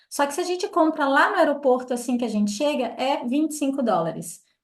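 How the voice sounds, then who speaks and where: At a moderate pace, a woman with a high pitch speaks with ordinary pitch variation. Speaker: tour group leader. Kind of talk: briefing for travel group.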